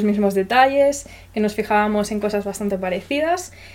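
Over noticeable background noise, a woman talks at a moderate pace in a fairly high voice with ordinary pitch variation. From Spain. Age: 20s. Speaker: podcast host. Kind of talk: casual chat.

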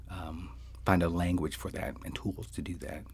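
Vocal fry marks this man's very deep, low voice. He talks at a fairly quick pace with ordinary pitch variation. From suburban New Jersey, Puerto Rican family. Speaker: social entrepreneur. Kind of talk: interview.

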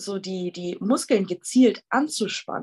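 Very slowly and somewhat breathily, a woman speaks at medium pitch with ordinary pitch variation in a dry, close sound with no echo. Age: 20s. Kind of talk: casual interview.

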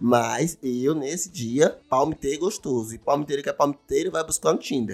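Moderately paced, a man speaks at a fairly high pitch with ordinary pitch variation. He leaves hardly any pauses. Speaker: podcast host. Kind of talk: casual monologue. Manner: animated. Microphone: new condenser microphone.

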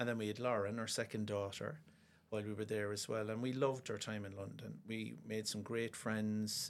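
In a Cork accent, a man speaks at a moderate pace with a fairly low pitch and monotone, flat intonation. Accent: Cork Irish. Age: 50s. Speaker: pediatric osteopath and football coach. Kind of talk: casual interview. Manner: hesitant, many fillers.

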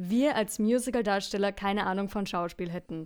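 The recording is very clean and the background silent. A woman talks with ordinary pitch variation. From Franconia, Bavaria. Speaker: musical performer. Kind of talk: casual chat.

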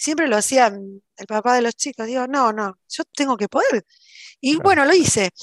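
A woman speaks at a moderate pace in a high pitch. The sound is dry and close with no echo, over a quiet background. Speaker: cybersecurity professional and instructor. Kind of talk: interview.

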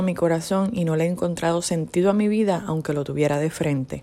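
A woman's plain, everyday voice, fairly low in pitch, at a fairly quick pace with ordinary pitch variation. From Puerto Rico. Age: 40s. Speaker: personal testimony speaker. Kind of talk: testimony.

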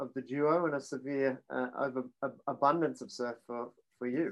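A man with an Australian accent, fairly high in pitch, at a fairly slow pace with fairly even intonation. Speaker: podcast co-host. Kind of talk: casual chat. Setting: video call.

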